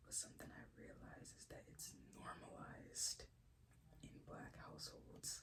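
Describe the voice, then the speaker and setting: Someone whispers at a fairly slow pace. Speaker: ASMR creator. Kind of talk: ASMR whispered talk to camera. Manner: soft whispered.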